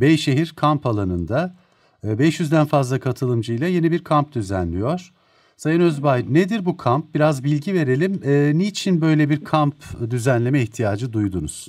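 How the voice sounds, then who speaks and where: Lively intonation marks a man's fairly high voice at a fairly slow pace. The background is quiet. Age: 50s. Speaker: radio host. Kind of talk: radio interview. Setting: radio studio. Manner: formal, polite. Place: studio.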